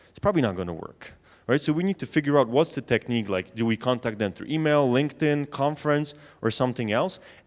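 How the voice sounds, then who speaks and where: A man with a Polish accent, medium pitch, lively intonation, big swings in loudness and a very fast pace, on a very clean recording with a silent background. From Poland. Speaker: sales trainer. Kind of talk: conference talk. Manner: conversational.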